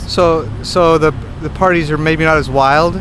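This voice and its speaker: A man talks at a fairly slow pace against noticeable background noise. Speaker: educational consultant. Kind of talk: interviewer questions on campus tour. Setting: outdoors.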